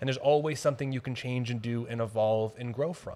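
The man's voice sits at a middle pitch and keeps a fairly level intonation. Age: 30s. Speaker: fitness business owner and coach. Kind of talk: interview.

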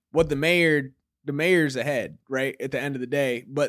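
A man with an American accent speaks at a moderate pace and medium pitch with fairly even intonation in a plain, everyday voice, on a very clean recording with a silent background. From Michigan, Ypsilanti. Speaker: poet. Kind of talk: interview.

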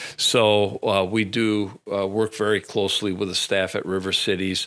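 A man with an Upper Midwest accent speaks at a fairly low pitch and a fairly slow pace, in a monotone, flat intonation. His tone is bright and sharp, on a very clean recording with a silent background. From central Wisconsin. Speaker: police chief. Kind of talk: radio interview. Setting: studio. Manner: halting, many fillers.

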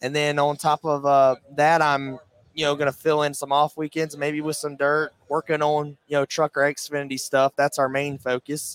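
A man speaks at a moderate pace in a fairly high pitch. His intonation is monotone and flat, and the sound is dry and close with no echo. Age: 20s. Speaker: race car driver. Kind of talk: interview. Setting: trade show floor.

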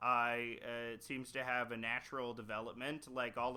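This man has a bright, sharp tone, a medium pitch and a Canadian accent. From Canada. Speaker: podcaster and cartoonist. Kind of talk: casual chat.

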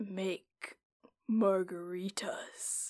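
This woman uses a put-on character voice at a medium pitch. Her intonation stays monotone and flat.

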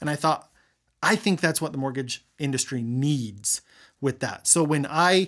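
Here a man with an American accent and a plain, everyday voice talks at a moderate pace and fairly high pitch, his intonation lively, in a very clean recording with a silent background. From Utah, Weber County. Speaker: mortgage company owner. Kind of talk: interview.

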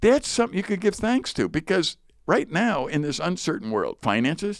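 A man speaks at a moderate pace with very wide pitch swings, on a very clean recording with a silent background. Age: 60s. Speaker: Bible teacher and podcast co-host. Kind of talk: casual chat about Bible passage. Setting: studio.

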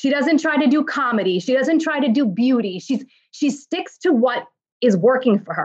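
In a New York accent, a woman with a high pitch speaks at a moderate pace with lively intonation. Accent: New York American. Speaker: fashion influencer and brand founder. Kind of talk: interview.

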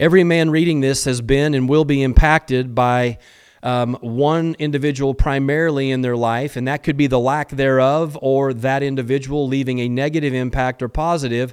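Talking at a moderate pace, a man uses a normal speaking voice with medium pitch and fairly even intonation. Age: 50s. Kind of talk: solo motivational talk. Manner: frequent fillers and repetitions.

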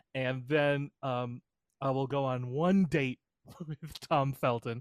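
With a fairly high pitch and fairly even intonation, a man talks in an ordinary speaking voice. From Canada. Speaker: podcast co-host and editor. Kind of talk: casual chat.

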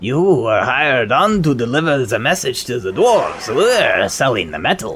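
Doing a put-on character voice, a man speaks at a fairly high pitch and a moderate pace, with hardly any pauses. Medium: actual play. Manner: hesitant, stammering.

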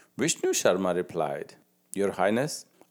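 The voice has a calm, warm tone. The recording is very clean, with a silent background. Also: man. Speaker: grandfather storyteller. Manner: calm, warm storytelling pace; engaging, asks the child questions.

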